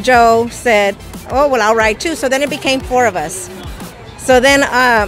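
Faint music plays in the background as a woman with a high pitch and ordinary pitch variation speaks at a fairly slow pace. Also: dry sound with no echo. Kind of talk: interview answer. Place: street. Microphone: handheld.

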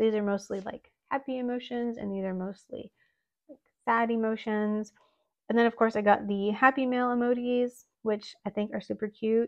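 Over a quiet background, a woman talks at a moderate pace with monotone, flat intonation. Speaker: planner hobby vlogger. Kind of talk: casual haul chat.

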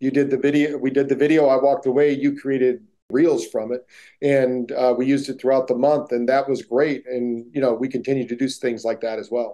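A man speaks at a fairly quick pace in a dark, mellow tone. His intonation is monotone and flat, over a quiet background. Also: medium pitch for a man. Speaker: neuroscience-based wellness entrepreneur. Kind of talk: interview. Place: home room. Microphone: video call.

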